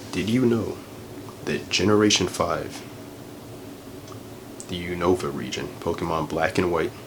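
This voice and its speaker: A soft-spoken man talks at a moderate pace with fairly even intonation. Noticeable background noise is present. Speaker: ASMR creator. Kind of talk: ASMR ramble. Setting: lo-fi home recording in a bedroom. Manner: soft-spoken, casual.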